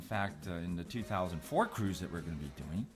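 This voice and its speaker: Lively intonation over music in the background. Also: man. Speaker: magazine publisher and conference moderator. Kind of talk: casual commentary conversation.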